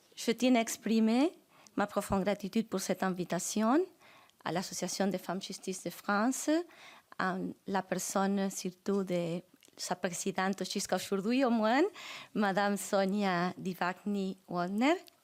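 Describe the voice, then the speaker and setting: Pausing often and at length, a woman with a Spanish accent speaks at a fairly slow pace and medium pitch with ordinary pitch variation. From Argentina, Santa Fe province. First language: Spanish (speaking French). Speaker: judge, guest speaker. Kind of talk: formal conference speech.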